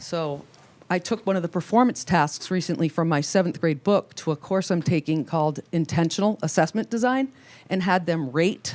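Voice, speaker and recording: On a very clean recording with a silent background, a woman speaks with a fairly low pitch and lively intonation. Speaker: middle school math teacher. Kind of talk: board meeting presentation. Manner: fast.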